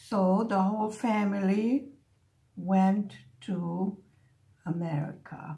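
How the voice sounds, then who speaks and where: A woman speaks very slowly, with long, frequent pauses and a slight Hungarian accent. Her medium-pitched voice is somewhat breathy and dark and mellow in tone, with ordinary pitch variation. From Buffalo, New York, with early childhood in Hungary. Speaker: crafting vlogger. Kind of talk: casual chat.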